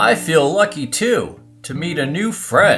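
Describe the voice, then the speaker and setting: A cartoonish character voice, female-sounding and very deep and low, at a fairly slow pace with faint music in the background. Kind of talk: children's puppet show. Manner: excitable, playful.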